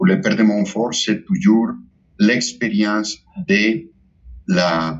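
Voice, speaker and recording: Moving through very wide pitch swings, a man speaks at a very slow pace. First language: Spanish (speaking French). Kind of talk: spiritual talk. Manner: halting, with many repetitions.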